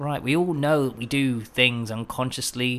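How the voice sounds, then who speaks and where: A man talks in a British accent. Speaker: podcast host. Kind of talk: podcast interview. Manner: enthusiastic.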